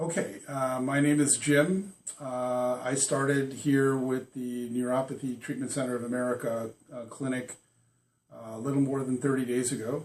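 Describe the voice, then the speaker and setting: A man talks at a moderate pace with a medium pitch, his intonation fairly even. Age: 60s. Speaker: patient. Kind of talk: testimony. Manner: halting, many fillers.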